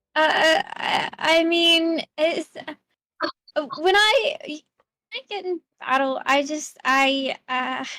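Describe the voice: At a very slow pace, a woman speaks at a high pitch in a bright, sharp tone. Her pitch variation is ordinary.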